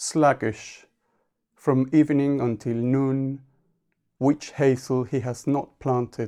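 Speaking with an Argentine accent, a man talks very slowly at medium pitch in a dark, mellow tone with monotone, flat intonation and long, frequent pauses, on a very clean recording with a silent background. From Argentina. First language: Spanish. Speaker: poet. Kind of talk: interview conversation. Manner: halting.

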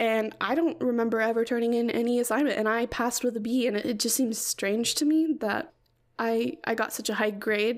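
Soft-spoken, in an American accent, the voice moves at a fairly quick pace with very even loudness in a very clean recording with a silent background. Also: woman. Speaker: podcast host. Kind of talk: casual solo chat. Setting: home recording. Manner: frequent laughter.

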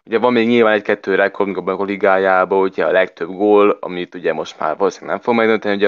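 A man with a fairly low pitch rattles along at a very fast pace with hardly any pauses and monotone, flat intonation. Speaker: football pundit. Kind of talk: casual football discussion.

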